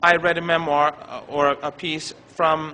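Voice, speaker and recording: Over noticeable background noise, a man speaks with a non-native accent. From Iran. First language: not English. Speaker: professor. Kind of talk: lecture. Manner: halting.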